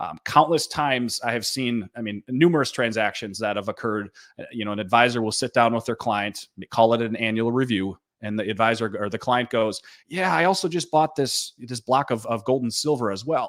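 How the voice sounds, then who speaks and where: A man speaks with a Minnesota accent at a fairly quick pace, medium pitch, and ordinary pitch variation. The sound is dry and close, with no echo. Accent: Minnesotan. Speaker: gold dealer company president. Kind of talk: sales webinar presentation. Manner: frequent fillers and repetitions.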